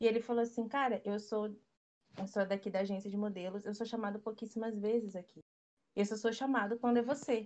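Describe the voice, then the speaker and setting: Using an ordinary speaking voice, a woman talks at a fairly quick pace with fairly even intonation and a fairly high pitch. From Brazil, urban periphery. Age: 20s. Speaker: photographer and stylist. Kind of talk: casual chat.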